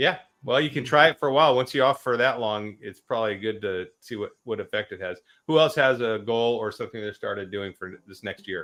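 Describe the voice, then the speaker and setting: Loudness swings widely as a man with a plain, everyday voice talks fairly quickly at medium pitch with ordinary pitch variation. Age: 50s. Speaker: live-stream host, army veteran. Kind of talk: casual panel chat.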